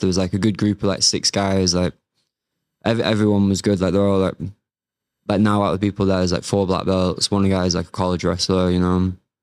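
A man with a Mancunian accent speaks at a very fast pace, fairly low in pitch, with monotone, flat intonation. The recording is very clean with a silent background, the sound dry and close with no echo. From Manchester, northern England. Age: 20s. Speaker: martial arts coach and MMA fighter. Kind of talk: casual interview.

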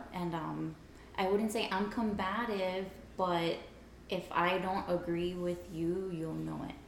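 A woman's fairly low voice in a flat monotone at a very slow pace, with noticeable background noise and audible room echo. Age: 20s. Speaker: astrology enthusiast. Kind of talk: casual chat.

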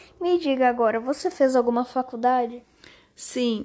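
A woman's fairly even intonation stands out against a quiet background. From Brazil, Jaú (São Paulo state interior). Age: 30s. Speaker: interviewee, mother, HR manager. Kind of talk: question-and-answer interview.

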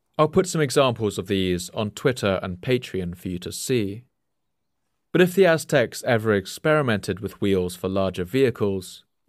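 Delivered at a moderate pace with lively intonation, a plain, everyday voice comes through on a very clean recording with a silent background. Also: man. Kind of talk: history documentary narration. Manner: measured, steady, formal explanatory delivery.

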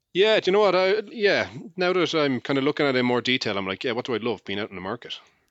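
A man with an Irish accent speaks at a very fast pace. His pitch swings very widely. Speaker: podcast co-host. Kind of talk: casual chat.

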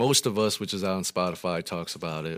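An American accent comes through. It belongs to a man. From US Midwest, Rockford, Illinois. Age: 30s. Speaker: rapper. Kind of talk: interview. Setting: studio.

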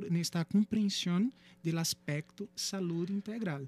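A man with a Brazilian accent talks at a fairly slow pace in a high voice. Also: dry, close sound with no echo. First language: Portuguese (speaking Spanish). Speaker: psychology professor. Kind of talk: radio interview. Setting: radio studio.

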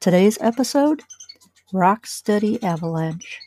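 In a very clean recording with a silent background and a dry, close sound without echo, a woman speaks in a somewhat breathy voice with a dark, mellow tone and very wide pitch swings. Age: 50s. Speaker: podcaster with Parkinson's. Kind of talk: personal reflection monologue.

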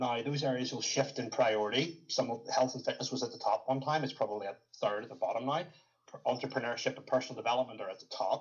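A man of medium pitch talks at a very fast pace, somewhat breathy, with ordinary pitch variation. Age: 30s. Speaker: fitness coach and former bodybuilder. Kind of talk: interview conversation.

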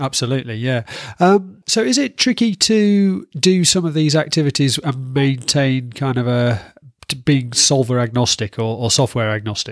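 A man at medium pitch with a Yorkshire accent, moderate pace and lively intonation, on a very clean recording with a silent background. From Yorkshire, northern England. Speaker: podcast host. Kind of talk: interview.

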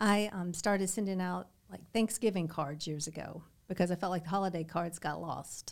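Speaking at a moderate pace with a Kentucky accent, a woman keeps her medium-pitched voice to fairly even intonation. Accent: US Southern (Kentucky). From Southern Kentucky. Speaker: real estate broker. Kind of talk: interview. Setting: studio.

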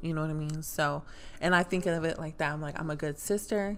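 Against music in the background, a woman speaks with a fairly low pitch. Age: 20s. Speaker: podcast guest, friend of host. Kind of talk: casual chat.

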